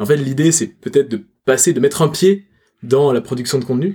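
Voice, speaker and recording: The pace is fairly quick. The voice sounds somewhat breathy. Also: man. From Toulouse, southern France. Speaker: personal branding consultant. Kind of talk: casual chat.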